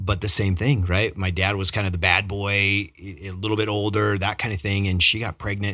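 Here a man speaks at a moderate pace with a fairly low pitch and a bright, sharp tone. The recording is very clean, and the background is silent. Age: 50s. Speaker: podcast host. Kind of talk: interview. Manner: enthusiastic.

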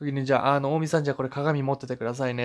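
A medium-pitched man with fairly even intonation on a very clean recording with a silent background. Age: 20s. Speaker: solo podcast host. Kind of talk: casual monologue. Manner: halting, many fillers.

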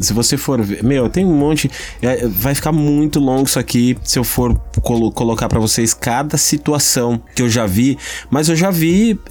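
The delivery is animated at a moderate pace, with very even loudness and ordinary pitch variation. Music runs in the background. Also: man, medium pitch for a man. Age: 30s. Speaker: podcast host. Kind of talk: casual chat.

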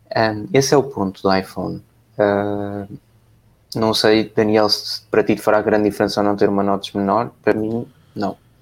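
The intonation is monotone and flat, in a European Portuguese accent. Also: man, fairly low pitch for a man, moderate pace. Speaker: tech podcast host. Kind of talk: casual live-stream chat.

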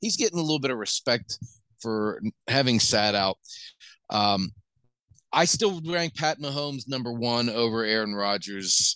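In a bright, sharp tone and with an American accent, a man at medium pitch talks at a moderate pace with long, frequent pauses against a quiet background. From Pennsylvania (Washington). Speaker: sports podcast co-host. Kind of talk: casual chat.

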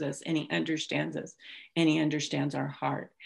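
A woman speaks with a General American accent and vocal fry. The recording is very clean, with a silent background. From California (Bay Area). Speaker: church service missionary. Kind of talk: interview testimony. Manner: halting.

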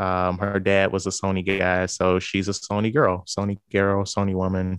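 In a St. Louis accent, a man with a very deep, low pitch speaks at a moderate pace with monotone, flat intonation over a quiet background. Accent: Midwestern American (St. Louis). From US Midwest, St. Louis, Missouri. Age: 30s. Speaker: podcaster. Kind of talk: casual chat.

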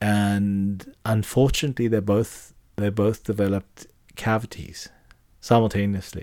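A man with a dark, mellow tone and fairly low pitch talks at a fairly slow pace, his intonation fairly even. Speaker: podcast host. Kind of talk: casual chat. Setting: studio.

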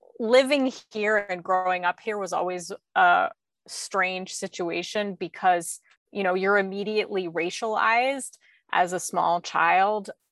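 In a dry, close sound with no echo and a quiet background, a woman speaks at a fairly slow pace. Her voice is medium in pitch with ordinary pitch variation. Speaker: documentary filmmaker. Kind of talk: casual interview. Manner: casual, hesitant with fillers.

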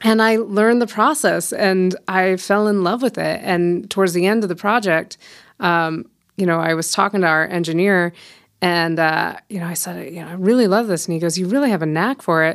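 A woman with medium pitch and ordinary pitch variation, in an American accent, at a moderate pace, with an unremarkable speaking voice. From Colorado, US. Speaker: mastering engineer and studio owner. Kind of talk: casual interview chat.

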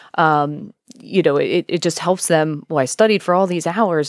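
With an American accent, a woman talks at a moderate pace in a very deep, low pitch, using ordinary pitch variation. The sound is dry and close with no echo. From York County, Pennsylvania. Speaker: school counselor and sports psychologist. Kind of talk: interview.

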